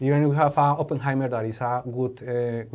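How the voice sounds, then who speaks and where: Speaking at a fairly quick pace, a man with a Spanish accent has a fairly high pitch. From Colombia. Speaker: innovation educator. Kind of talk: podcast interview. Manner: halting.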